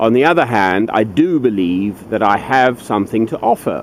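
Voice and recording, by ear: A man at a moderate pace, fairly low in pitch, with lively intonation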